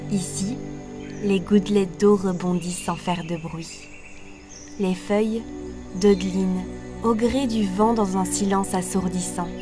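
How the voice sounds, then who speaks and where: Soft-spoken and very slow, a woman talks with long, frequent pauses while music plays in the background. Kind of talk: sleep story. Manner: soft-spoken, soothing.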